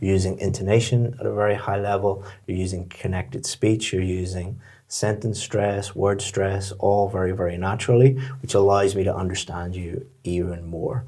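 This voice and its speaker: A somewhat breathy man, fairly low in pitch with fairly even intonation, in audible room echo. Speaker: IELTS teacher. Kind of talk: spoken feedback on mock test.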